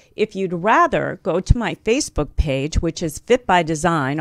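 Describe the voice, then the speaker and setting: A plain, everyday voice speaks at a moderate pace with lively intonation. The sound is dry with no echo, over a quiet background. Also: woman. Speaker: health and wellness show host. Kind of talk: live radio interview. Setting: studio. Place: studio. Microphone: studio mic.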